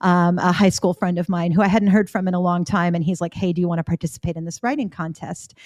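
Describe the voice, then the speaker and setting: With a slight Canadian accent, a woman talks at a medium pitch with fairly even intonation, the sound dry and close with no echo. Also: very clean recording, silent background. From Florida, US with Canadian summers. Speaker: editor and author. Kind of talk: podcast interview.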